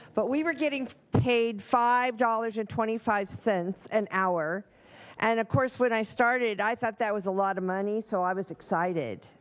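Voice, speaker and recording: In a very clean recording with a silent background, a woman with a fairly high pitch uses an ordinary speaking voice with ordinary pitch variation. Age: 60s. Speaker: home care worker. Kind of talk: public comment. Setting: county board meeting.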